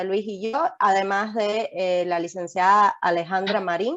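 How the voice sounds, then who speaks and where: Ordinary pitch variation marks speech that unfolds at a fairly slow pace. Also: woman. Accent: Cuban. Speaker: lawyer. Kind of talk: webinar presentation.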